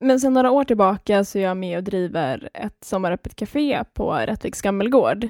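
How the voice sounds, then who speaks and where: A woman at medium pitch speaks at a moderate pace with hardly any pauses. The sound is dry and close, with no echo. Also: lively intonation. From Skåne, Sweden. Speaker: podcast co-host, craft student. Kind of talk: casual chat.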